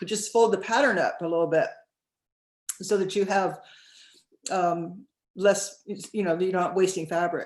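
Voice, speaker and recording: A woman with a medium pitch speaks at a moderate pace. Her speech has long, frequent pauses. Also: ordinary pitch variation. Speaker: sewing teacher. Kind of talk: tutorial.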